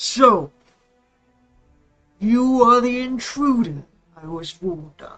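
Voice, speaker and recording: Faint music plays in the background as a put-on character voice speaks at a fairly high pitch. The pace is fairly slow, with long, frequent pauses. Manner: menacing, imposing.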